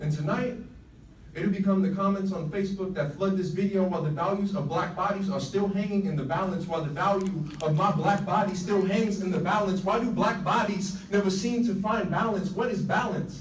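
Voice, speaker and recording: A high-pitched man's voice with an American accent, fairly even intonation and a fairly quick pace over noticeable background noise. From United States. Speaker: spoken word poet. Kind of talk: slam poetry performance. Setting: live stage, audience.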